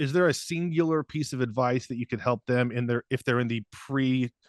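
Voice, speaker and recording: Spoken at a moderate pace with ordinary pitch variation, the voice sounds dry and close with no echo against a quiet background. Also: man. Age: 40s. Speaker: veterinary neurologist and channel host. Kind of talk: interview podcast. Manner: casual, hesitant with fillers.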